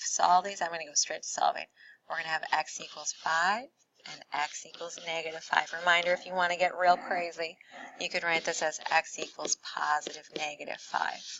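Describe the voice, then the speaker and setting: A woman at a moderate pace, flat and monotone, with big swings in loudness. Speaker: math teacher. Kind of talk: recorded tutorial. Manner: casual.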